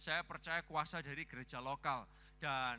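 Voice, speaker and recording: Speaking with an East Javanese accent, a man talks at a moderate pace in a bright, sharp tone with ordinary pitch variation. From Surabaya, East Java, Indonesia. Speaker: pastor. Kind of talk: sermon. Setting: church. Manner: animated.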